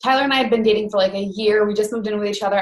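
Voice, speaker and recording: This is a woman speaking. She talks with a Western New York accent. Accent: Western New York American. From Rochester, New York, US. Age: 20s. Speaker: network marketing coach, former teacher. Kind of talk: online training presentation.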